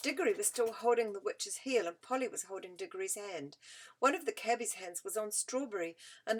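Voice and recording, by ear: The text is read aloud in a natural voice.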